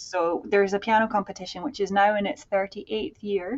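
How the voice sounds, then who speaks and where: This voice has a Scottish accent and a moderate pace. The intonation is fairly even. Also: woman. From Scotland. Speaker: music scholar, center director. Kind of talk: interview chat. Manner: many fillers, hesitant starts.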